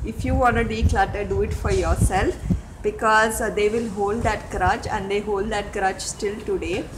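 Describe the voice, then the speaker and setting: Spoken at a moderate pace, the voice comes with noticeable background noise. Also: woman. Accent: Telugu. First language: Telugu. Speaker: home vlogger. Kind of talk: tutorial. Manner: halting, many fillers. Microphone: network issues.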